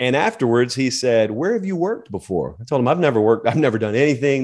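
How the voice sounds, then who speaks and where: Against a quiet background, a man talks at a very fast pace in a Southern US accent. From US South. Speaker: college football media personality. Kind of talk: interview.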